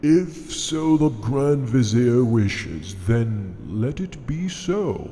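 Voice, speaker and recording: A man puts on a character voice with very wide pitch swings. He speaks very slowly. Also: medium pitch for a man. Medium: audio drama. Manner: menacing, manipulative.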